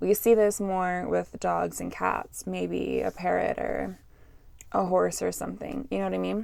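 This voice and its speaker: Fairly slowly, a woman talks in a very clean recording with a silent background. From Canada. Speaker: podcast host, English teacher. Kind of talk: educational podcast monologue. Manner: casual, chatty.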